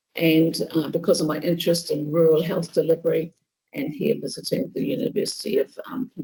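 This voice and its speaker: A woman with a New Zealand accent, fairly low in pitch, with ordinary pitch variation at a fairly quick pace. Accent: New Zealand (Kiwi). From New Zealand, Bay of Plenty. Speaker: nursing professor. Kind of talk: lecture.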